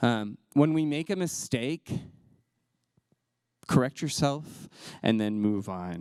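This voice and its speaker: The speaker has an American accent and talks at a very slow pace with ordinary pitch variation. The recording is very clean, with a silent background. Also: man. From US South. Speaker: LGBTQ inclusion trainer. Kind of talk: presentation. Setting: talk with slides.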